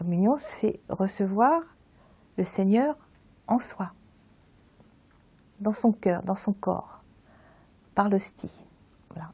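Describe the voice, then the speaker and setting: A woman with a medium pitch and a dark, mellow, somewhat breathy tone speaks at a very slow pace with lively intonation, recorded very cleanly against a silent background. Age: 70s. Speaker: churchgoer giving testimony. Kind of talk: testimony. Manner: halting.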